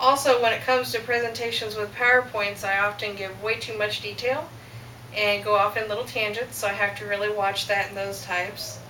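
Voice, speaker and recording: Speaking at a fairly quick pace, a woman has a fairly high pitch and fairly even intonation. Noticeable background noise and audible room echo are present. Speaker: student. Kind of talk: class speech. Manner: fast.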